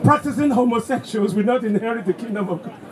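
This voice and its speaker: Over crowd noise, a man with an extremely high voice talks very fast with ordinary pitch variation. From Nigeria. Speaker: pastor.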